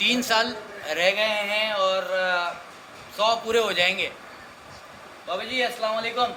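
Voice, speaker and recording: Over noticeable background noise, a man projects a raised, high-pitched voice with fairly even intonation. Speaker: street interviewer. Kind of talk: casual talk to camera.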